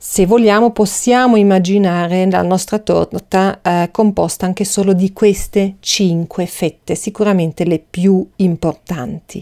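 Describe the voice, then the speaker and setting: A woman at a medium pitch speaks at a fairly slow pace with hardly any pauses, fairly even intonation and very even loudness, in a dry, close sound with no echo. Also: very clean recording, silent background. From Austria. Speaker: podcast host, Chinese medicine practitioner. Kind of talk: educational monologue. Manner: hesitant, many fillers.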